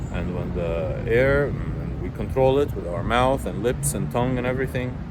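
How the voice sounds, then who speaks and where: A man speaks with audible room echo. Noticeable background noise runs beneath his voice. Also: moderate pace. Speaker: video essayist. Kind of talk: casual monologue. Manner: hesitant, many fillers.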